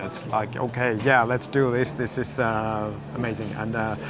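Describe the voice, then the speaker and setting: Over music in the background, a man with a Finnish accent speaks at a moderate pace. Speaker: drifting YouTuber interviewer. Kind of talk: casual interview. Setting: race paddock. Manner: halting, many fillers.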